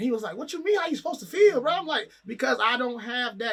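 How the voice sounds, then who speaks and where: Raising and projecting his voice, a man speaks with lively intonation. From Trinidad and Tobago. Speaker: rapper. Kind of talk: casual interview.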